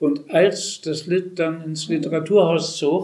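He speaks at a very slow pace. This man's pitch sits fairly high. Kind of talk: panel discussion; speech.

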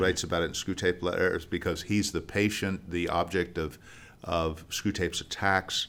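A resonant man with a very deep, low pitch at a moderate pace, in a very clean recording with a silent background. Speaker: actor and theater founder. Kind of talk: casual interview chat. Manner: articulate, clear.

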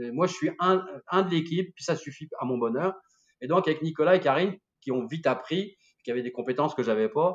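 This man talks at a very fast pace. His pitch is fairly high, with ordinary pitch variation. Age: 60s. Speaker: winemaker and sommelier. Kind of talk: casual interview. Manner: animated.

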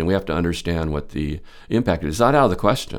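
The man has an American accent. He talks very fast. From California, Santa Clara. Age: 70s. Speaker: former mayor, city council candidate. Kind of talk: interview answers. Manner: halting.

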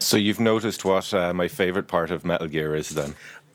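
A man does a gruff, put-on character voice at a very deep, low pitch with ordinary pitch variation. He speaks very fast in a very clean recording with a silent background.

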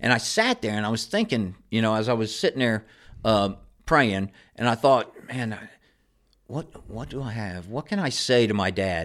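At a moderate pace and with ordinary pitch variation, an ordinary speaking voice comes through on a very clean recording with a silent background. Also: man, medium pitch for a man. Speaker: recovering alcoholic sharing his story. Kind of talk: casual interview.

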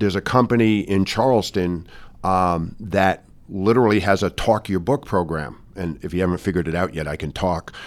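A plain, everyday voice with an American accent moves at a moderate pace with ordinary pitch variation, in a very clean recording with a silent background. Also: man. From New York, Westchester County. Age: 60s. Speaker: business executive. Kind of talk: interview. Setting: in person.

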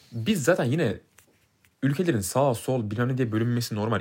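Speaking at a fairly quick pace, a man sounds somewhat breathy. His medium pitch rides on lively intonation. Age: 20s. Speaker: podcast co-host, F1 commentator. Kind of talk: casual chat. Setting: studio, face to face.

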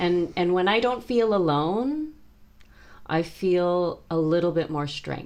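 With an American accent and lively intonation, the speaker moves at a very slow pace. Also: woman, fairly low pitch for a woman. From California, Bay Area. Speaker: music teacher. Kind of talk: interview conversation.

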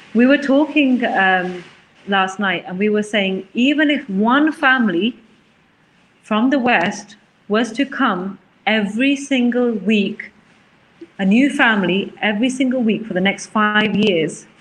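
A woman talks with ordinary pitch variation. Noticeable background noise runs behind her. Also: fairly high pitch for a woman, fairly slow pace. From England, Leicester. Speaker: charity worker. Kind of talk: interview.

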